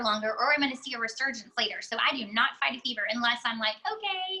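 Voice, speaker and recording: A woman uses a raised, projected voice with a bright, sharp tone. She speaks at a very fast pace. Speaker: essential oils educator, mother. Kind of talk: online class / webinar. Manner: casual, filler-heavy.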